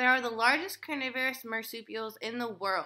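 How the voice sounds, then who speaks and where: A woman's bright, sharp, raised and projected voice over a quiet background. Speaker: animal facts vlogger. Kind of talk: casual vlog chat. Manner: tipsy, loose reading of facts. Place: home room. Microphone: webcam.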